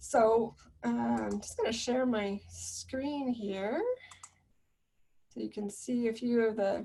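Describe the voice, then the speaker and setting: A soft-spoken woman talks at a very slow pace. Her speech has long, frequent pauses. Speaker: counsellor leading a webinar. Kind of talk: webinar presentation.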